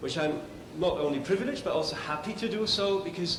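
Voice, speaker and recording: Against noticeable background noise and audible room echo, a man with a Scottish accent talks at a fairly quick pace with ordinary pitch variation. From Scotland. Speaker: development agency official presenting an award. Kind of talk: award ceremony speech. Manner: hesitant with frequent ums.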